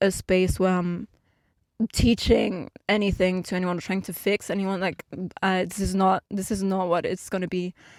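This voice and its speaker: Speaking at a moderate pace with a non-native accent, a woman holds a medium pitch in a monotone, flat delivery, recorded dry and close with no echo. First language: not English. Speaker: YouTuber and musician. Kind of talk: podcast monologue. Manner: hesitant, many fillers.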